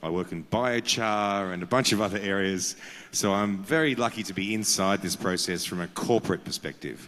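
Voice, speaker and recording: With an Australian accent, a man speaks at a moderate pace in a fairly low pitch, with ordinary pitch variation. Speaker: carbon markets consultant. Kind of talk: conference panel talk. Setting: conference with audience.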